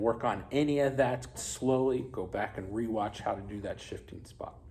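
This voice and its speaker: A man speaks at a medium pitch with ordinary pitch variation. His voice is somewhat breathy, and room echo is audible. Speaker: music teacher. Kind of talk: tutorial. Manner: casual, encouraging.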